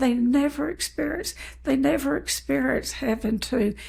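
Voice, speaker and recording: With vocal fry and very wide pitch swings, the speaker moves at a fairly slow pace. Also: woman. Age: 80s+. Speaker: eating disorder recovery counselor. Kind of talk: interview.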